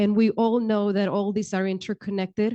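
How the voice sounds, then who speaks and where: Speaking in a Romanian accent, a woman keeps a medium pitch and a monotone, flat intonation. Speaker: county human services official. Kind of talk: panel discussion.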